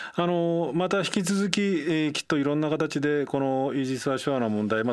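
A man talks very fast. His intonation is lively. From Japan, Nagano. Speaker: radio host. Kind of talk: radio interview by phone.

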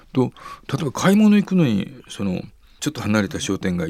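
The man's pitch swings very widely. He speaks at a fairly quick pace. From Nara, Japan. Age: 70s. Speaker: cycling advocacy nonprofit head. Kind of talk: interview.

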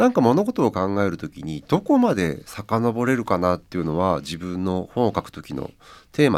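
In a very clean recording with a silent background, a man with an ordinary speaking voice speaks at a moderate pace, fairly low in pitch, with lively intonation. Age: 50s. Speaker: writer and editor, radio presenter. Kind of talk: casual radio interview.

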